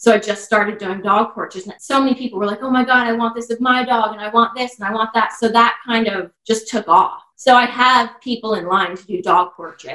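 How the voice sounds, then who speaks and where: In a New Jersey accent, a woman talks fairly quickly at a fairly high pitch, her tone bright and sharp, with ordinary pitch variation. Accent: New Jersey American. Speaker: dog walker and pet portrait artist. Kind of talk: casual chat.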